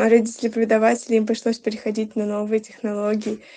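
A woman with a dark, mellow tone and fairly high pitch speaks in a monotone, flat intonation. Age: 20s. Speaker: university student, archaeologist. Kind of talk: interview testimony.

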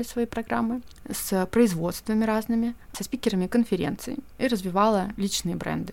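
Mid-range in pitch with ordinary pitch variation, this woman has a plain, everyday voice. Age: 30s. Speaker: podcast host, editor and brand communications specialist. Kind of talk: solo podcast monologue.

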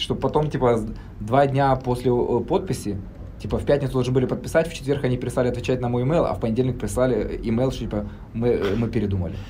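Amid audible room echo, a man of medium pitch talks at a very fast pace with ordinary pitch variation. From Germany (emigrated from Kharkiv at 12). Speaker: Amazon seller, entrepreneur. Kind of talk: casual interview.

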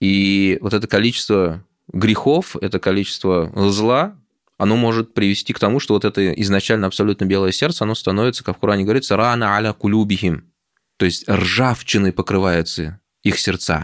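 Speaking at a fairly quick pace with a fairly low pitch, ordinary pitch variation and very even loudness, a man has an unremarkable speaking voice on a very clean recording with a silent background. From Moscow, Russia. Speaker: imam and theologian. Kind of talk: interview conversation. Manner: measured, with many filler words.

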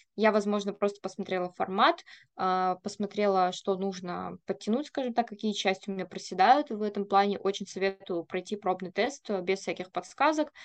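A woman talks in a normal speaking voice at medium pitch and a moderate pace. Her pitch varies in an ordinary way over a quiet background. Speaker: podcast host. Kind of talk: casual chat.

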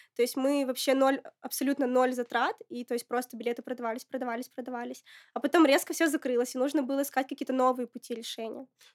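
Her voice is high and her intonation monotone and flat as this woman speaks at a very fast pace. The sound is dry and close, with no echo. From Russia, Murmansk region (Apatity). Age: 20s. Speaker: entrepreneur, founder of a women's community. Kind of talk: casual interview.

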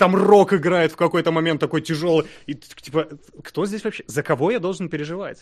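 A man speaks at a moderate pace with a high voice and ordinary pitch variation. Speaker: podcast co-host. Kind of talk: casual chat.

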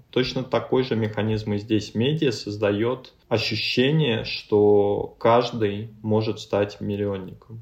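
A man speaks at a very slow pace with a fairly low pitch. His intonation stays fairly even. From Russia, Ryazan. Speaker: creative agency founder. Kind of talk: interview. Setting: video call.

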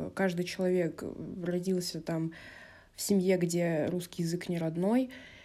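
At a fairly slow pace and with fairly even intonation, this is an unremarkable speaking voice. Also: woman. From Russia, Vladikavkaz (North Ossetia), early years in Moscow. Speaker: podcast guest. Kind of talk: monologue.

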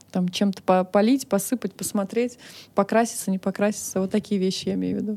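A woman with a medium pitch and a dark, mellow tone talks at a fairly quick pace in a monotone, flat way. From Russia, Moscow. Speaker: business founder and director. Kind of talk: interview.

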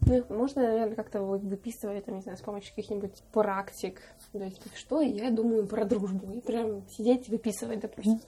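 A woman's fairly high, somewhat breathy voice has a dark, mellow tone, fairly even intonation and big swings in loudness. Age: 20s. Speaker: podcast host. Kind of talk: casual chat.

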